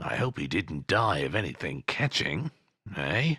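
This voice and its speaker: A put-on character voice from a man, very deep and low in pitch, with very wide pitch swings at a moderate pace and a dry, close sound with no echo. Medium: read story. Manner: sly, haggling.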